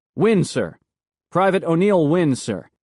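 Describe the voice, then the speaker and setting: A man's put-on character voice, high-pitched, fairly slow, with ordinary pitch variation. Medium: read story.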